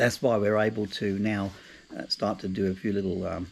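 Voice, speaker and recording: With an Australian accent, a man talks at a fairly quick pace in a fairly low, monotone voice with flat intonation. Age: 60s. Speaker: travel vlogger, retiree. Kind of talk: casual vlog monologue. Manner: halting, many fillers and repeats.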